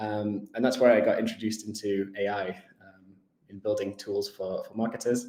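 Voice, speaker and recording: Fairly low male voice with a dark, mellow tone and a northern English accent, at a fairly quick pace. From northern England. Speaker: tech company executive. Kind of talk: interview. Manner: hesitant, many fillers.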